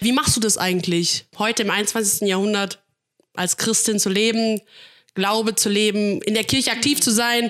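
Her voice sits at a fairly high pitch for a woman. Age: 20s. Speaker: church worker. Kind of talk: casual chat. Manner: fast; loud.

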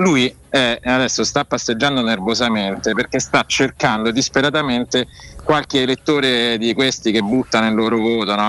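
At a moderate pace, a man uses an ordinary speaking voice at medium pitch. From Rome. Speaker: political journalist. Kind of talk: casual chat. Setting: video call.

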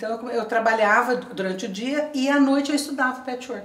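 Through noticeable background noise and audible room echo, a woman with a high voice speaks at a moderate pace with ordinary pitch variation. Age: 50s. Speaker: retired teacher, patchwork entrepreneur. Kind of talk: interview.

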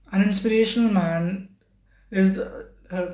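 In a space with audible room echo, a man speaks at a high pitch and a fairly slow pace with fairly even intonation. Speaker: solo podcaster. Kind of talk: casual monologue. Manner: halting.

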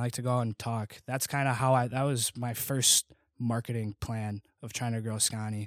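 A man with a normal speaking voice and an American accent, medium-pitched, at a moderate pace with fairly even intonation, in a very clean recording with a silent background and a dry, close sound with no echo. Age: 20s. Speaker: college student and clothing brand founder. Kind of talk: casual interview chat. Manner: casual, conversational, laughs often.

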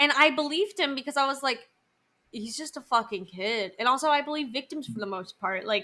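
A woman speaks in a raised, projected voice that is high-pitched, with a bright, sharp tone. Her delivery is animated, with lively intonation and big swings in loudness. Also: fairly quick pace. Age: 20s. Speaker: podcast co-host. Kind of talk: casual chat.

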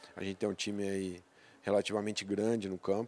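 On a very clean recording with a silent background, a man with a plain, everyday voice and fairly low pitch speaks at a moderate pace. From Brazil, south of Minas Gerais. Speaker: agribusiness sales director. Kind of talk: interview. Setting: company headquarters.

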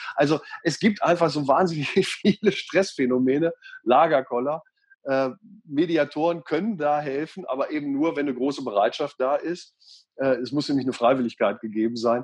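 A man's normal speaking voice, a normal speaking voice, fairly high in pitch, at a moderate pace with ordinary pitch variation against a quiet background. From Lower Saxony, Göttingen. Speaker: radio and TV presenter, mediator. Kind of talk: interview. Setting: video call.

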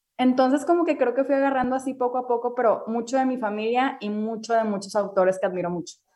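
Delivery runs at a very fast pace. Pitch varies in an ordinary way over a dark, mellow tone. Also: woman, high pitch for a woman. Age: 20s. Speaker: restaurant owner and wellness influencer. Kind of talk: interview.

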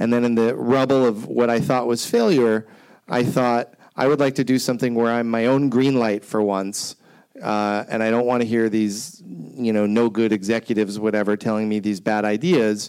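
A man's medium-pitched, plain, everyday voice with very even loudness, fairly even intonation and a moderate pace. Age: 40s. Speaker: TV creator and storytelling show producer. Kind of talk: panel discussion.

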